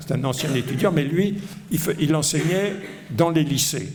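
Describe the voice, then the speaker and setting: A man keeps a moderate pace, his voice carrying audible room echo with music in the background. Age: 70s. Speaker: economics professor. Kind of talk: lecture. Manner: hesitant, many fillers.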